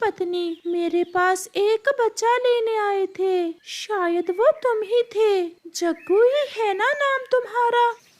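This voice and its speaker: This is a cartoonish character voice pitched extremely high. It moves at a very slow pace. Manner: calm, friendly.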